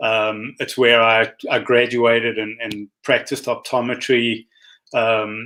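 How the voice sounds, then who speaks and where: A man's very slow, flat, monotone delivery at a medium pitch, in a South African accent. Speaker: optometrist. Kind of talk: interview.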